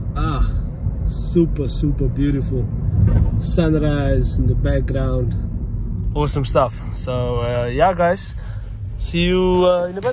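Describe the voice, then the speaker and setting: Very slow speech from a man, long, frequent pauses breaking it up, noticeable background noise throughout. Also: dry sound with no echo. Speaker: car vlogger. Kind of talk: casual vlog chat. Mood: upbeat, excited. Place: car. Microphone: phone near.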